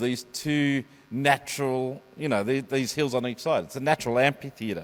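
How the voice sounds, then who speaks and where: Speaking with an Australian accent, the man keeps a moderate pace. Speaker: preacher giving a sermon. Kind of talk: church sermon to a congregation. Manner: conversational, explanatory, with hesitations.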